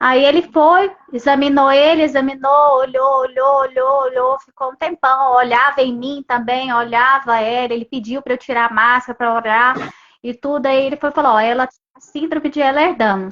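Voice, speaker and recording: Her voice sits high and moves at a moderate speed. The woman's intonation holds fairly level throughout. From Brazil, Goiânia. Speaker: mother of a patient. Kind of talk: testimony.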